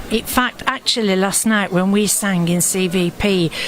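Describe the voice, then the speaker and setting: Someone with a Yorkshire accent speaks at a fairly slow pace with fairly even intonation, over noticeable background noise. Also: woman. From Sheffield, northern England. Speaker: choir singer and co-host. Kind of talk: live event commentary.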